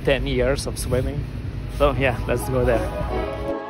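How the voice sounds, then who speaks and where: A man speaks at a very slow pace. The sound is dry with no echo, though noticeable background noise is present. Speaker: vlogger training for a triathlon. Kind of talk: casual vlog chat. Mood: relaxed, curious. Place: street. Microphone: phone near.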